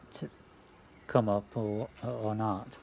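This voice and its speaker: Light background noise sits behind a man speaking. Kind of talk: casual garden tour narration. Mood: relaxed, cheerful. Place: garden. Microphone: phone near.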